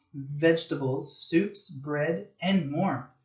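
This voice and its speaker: With an American accent, a man speaks at a very slow pace in a somewhat breathy, fairly high voice with ordinary pitch variation. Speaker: English teacher. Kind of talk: children's story reading for English learners.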